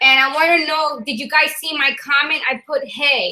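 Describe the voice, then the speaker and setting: A woman projects a raised voice at a high pitch with a bright, sharp tone. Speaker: forex trading educator. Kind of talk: casual chat. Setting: video call. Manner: fast.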